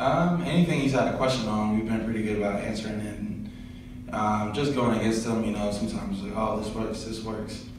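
A man with a fairly low pitch and ordinary pitch variation talks at a fairly quick pace amid strong room echo and noticeable background noise. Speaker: college football player. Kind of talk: press interview. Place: meeting room.

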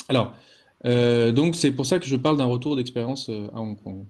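Speaking at a moderate pace against a quiet background, a man uses a normal speaking voice with medium pitch and ordinary pitch variation. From France, Lyon area. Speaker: anthropologist. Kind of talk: online lecture. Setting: video call. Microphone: video call.

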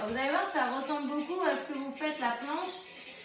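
Amid audible room echo and faint background music, a woman speaks fairly slowly at a high pitch with ordinary pitch variation. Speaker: fitness instructor. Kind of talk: tutorial. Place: home room. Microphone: camera far.

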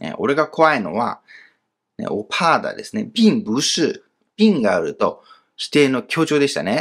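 Speaking at a fairly slow pace, the man leaves long, frequent pauses. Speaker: Chinese language teacher. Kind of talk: grammar lesson.

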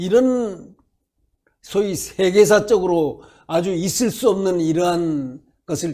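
A man speaks with a high pitch. His tone is animated and his intonation lively. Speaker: political commentator. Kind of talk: political commentary interview. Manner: halting.

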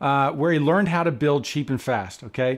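Speech moves at a fairly quick pace against a quiet background. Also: man. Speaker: interviewee. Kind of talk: interview answer. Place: home room.

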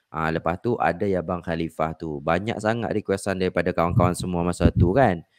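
On a very clean recording with a silent background and a dry, close sound with no echo, a man speaks at a fairly quick pace with a very deep, low pitch and fairly even intonation. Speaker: YouTube reaction creator. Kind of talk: casual interview.

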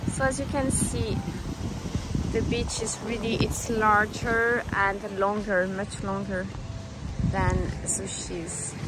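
The speech comes at a very slow pace, with a dry sound and no echo, under loud background noise. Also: woman. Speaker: travel vlogger. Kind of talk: casual vlog chat. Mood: cheerful, upbeat. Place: beach. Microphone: phone near.

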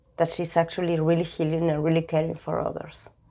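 Speaking with a Spanish accent, a woman has a dark, mellow tone and fairly low pitch. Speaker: tarot reader. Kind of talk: tarot reading talk to camera.

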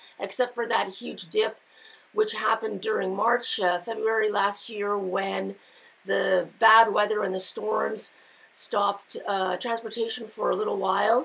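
Speaking at a fairly slow pace, a woman has a medium pitch, a fairly bright tone with a slightly husky edge and vocal fry, and fairly even intonation.

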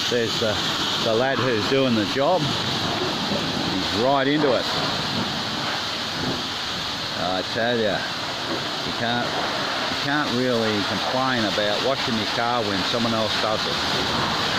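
At a very slow pace, a man talks over loud background noise in a dry sound with no echo. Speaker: traveller vlogger. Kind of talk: casual vlog chat. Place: shop. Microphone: phone near.

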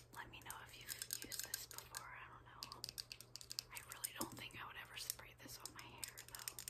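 The pace stays moderate. A woman whispers throughout. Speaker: ASMR creator. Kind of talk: ASMR haul talk to camera. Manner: whispered, soft-spoken. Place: home room. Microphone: phone near.

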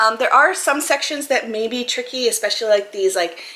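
A woman speaks at a high pitch with an American accent. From Maine, US. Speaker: YouTuber; puzzle hobby youtuber. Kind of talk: casual product haul video; casual haul vlog chat. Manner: casual, filler-heavy. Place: home room.

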